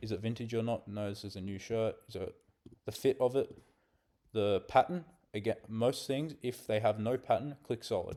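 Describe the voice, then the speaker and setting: This man's voice sits at medium pitch. Its tone is dark and mellow. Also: ordinary pitch variation, moderate pace. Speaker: online reseller teaching listing. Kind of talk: screen-share tutorial. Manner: casual, conversational.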